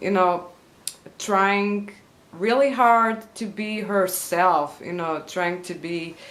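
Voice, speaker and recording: Speaking at a very slow pace with a Portuguese accent, a woman uses ordinary pitch variation, and audible room echo surrounds her voice. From Portugal. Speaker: YouTuber. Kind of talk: vlog monologue. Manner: halting with many fillers.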